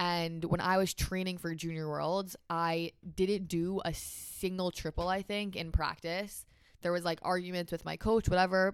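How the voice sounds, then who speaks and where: The delivery is fairly slow. Intonation stays flat and monotone. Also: woman. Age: young. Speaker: competitive pairs figure skater. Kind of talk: interview. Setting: home basement studio.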